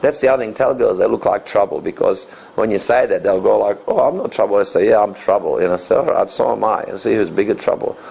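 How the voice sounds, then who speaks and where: A man speaks at a very fast pace in an Australian accent, with hardly any pauses. Noticeable background noise is present. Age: 50s. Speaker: dating coach and author. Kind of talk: interview.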